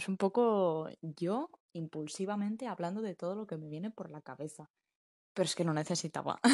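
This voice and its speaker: Her pitch sits fairly low for a woman. The recording is dry and close, without any echo. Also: ordinary pitch variation. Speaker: podcast host. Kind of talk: casual monologue. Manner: fast, rambling.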